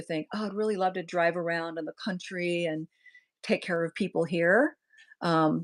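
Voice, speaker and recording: Recorded very cleanly with a silent background and a dry, close sound with no echo, a woman uses a normal speaking voice at a moderate pace, fairly low in pitch, with fairly even intonation. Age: 60s. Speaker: hospice nurse. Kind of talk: casual chat. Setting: livestream video chat.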